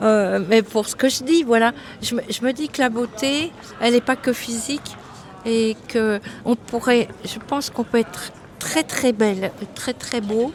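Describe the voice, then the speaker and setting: Noticeable background noise sits behind a woman with a fairly high pitch. She speaks at a fairly slow pace with ordinary pitch variation. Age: 70s. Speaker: passer-by interviewee. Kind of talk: casual street interview. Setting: outdoors on a street.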